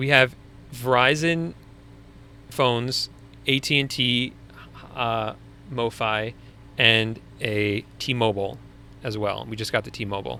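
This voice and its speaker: In a Long Island accent, a bright, sharp voice moves at a very slow pace with ordinary pitch variation and long, frequent pauses. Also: man, medium pitch for a man. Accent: Long Island accent, sometimes. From US Northeast, Long Island. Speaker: online business coach, live stream host. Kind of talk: live Q&A stream. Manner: casual, conversational.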